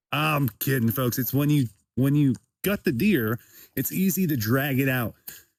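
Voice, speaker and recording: A plain, everyday voice from a man at medium pitch, with lively intonation, a moderate pace and very even loudness, in a very clean recording with a silent background and a dry, close sound with no echo. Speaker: comedian, podcast host. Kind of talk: casual talk to camera while hunting. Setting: outdoors, in the woods.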